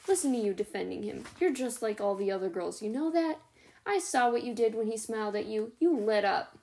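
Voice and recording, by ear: The reading aloud is done in a natural voice. Intonation stays lively.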